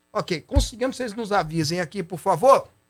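Music plays in the background. A man speaks at a fairly quick pace with lively intonation. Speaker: TV and radio talk show host. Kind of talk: live talk show.

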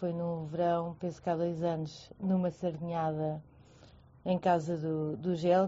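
A woman talks at a fairly slow pace. Her fairly low pitch stays monotone and flat. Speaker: friend of guest. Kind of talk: casual chat. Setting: online audio room.

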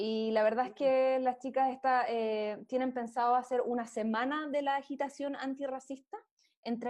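A woman with a Chilean accent speaks at a fairly slow pace in a high pitch. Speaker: news segment presenter. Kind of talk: news roundup.

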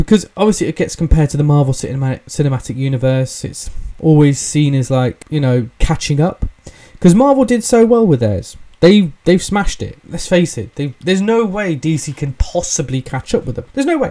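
Fairly quick speech in an English accent. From England. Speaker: podcast host. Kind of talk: casual solo commentary. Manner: hesitant, many fillers.

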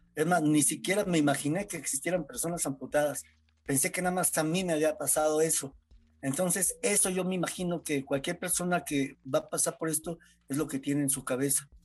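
A man speaks at a fairly quick pace with fairly even intonation against a quiet background. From Mexico, San Luis Potosí. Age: 40s. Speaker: amputee football player. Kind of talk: interview testimony. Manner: halting.

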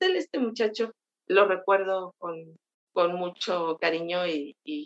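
A woman speaks at a medium pitch and a very slow pace. The sound is dry and close, with no echo. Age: 50s. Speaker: travel blogger. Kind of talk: interview.

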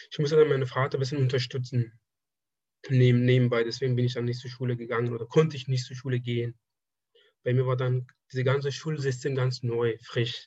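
At a fairly quick pace but with long, frequent pauses, a man speaks at a medium pitch in a somewhat breathy, monotone, flat delivery. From Afghanistan. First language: Persian (speaking German). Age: 20s. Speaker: draftsman, former student. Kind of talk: casual interview. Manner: halting.

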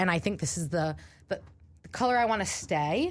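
At a moderate pace, a woman talks in an animated tone with vocal fry, her pitch swinging very widely. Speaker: college radio host. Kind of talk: casual chat. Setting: studio.

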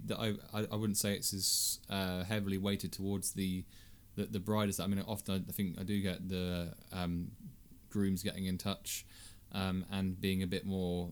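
A man uses a normal speaking voice at a moderate pace and a fairly low pitch. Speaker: podcast co-host and author. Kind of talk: casual chat.

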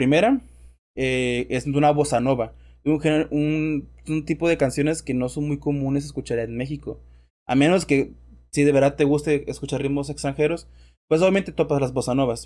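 Here a man with a Mexican accent speaks at a fairly high pitch. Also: very clean recording, silent background. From Mexico. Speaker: podcast host. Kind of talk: casual chat.

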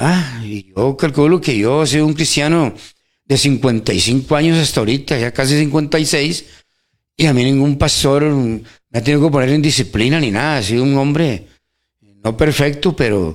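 On a very clean recording with a silent background, a man with an unremarkable speaking voice talks at a fairly slow pace and fairly high pitch, with ordinary pitch variation. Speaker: church member co-host. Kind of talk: radio Bible teaching chat. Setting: radio studio.

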